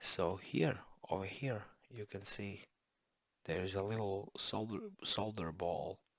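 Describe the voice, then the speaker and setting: Very slowly and with fairly even intonation, a man talks at a fairly low pitch. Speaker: electronics repair hobbyist. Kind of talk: casual tutorial. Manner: halting, many fillers.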